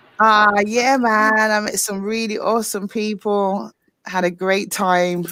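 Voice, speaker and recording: A woman with a British accent, very slow pace and ordinary pitch variation, on a very clean recording with a silent background. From UK. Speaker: livestream chat guest. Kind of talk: casual chat.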